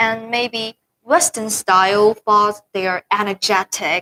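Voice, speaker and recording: A woman with a Chinese accent speaks at a medium pitch with ordinary pitch variation in a bright, sharp tone, on a dry, close recording with no echo. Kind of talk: casual chat.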